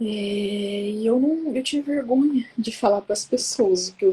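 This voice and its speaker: Soft-spoken and fairly high-pitched, this woman uses ordinary pitch variation. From Brazil, São Paulo. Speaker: psychoanalyst and women's coach, speaker. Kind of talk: personal testimony talk. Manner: soft-spoken, speaks quietly.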